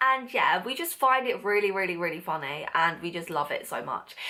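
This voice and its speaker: A woman speaks at a fairly quick pace with a bright, sharp tone. Her pitch swings very widely. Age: young. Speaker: beauty and lifestyle vlogger. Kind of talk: casual vlog monologue. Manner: fast; animated.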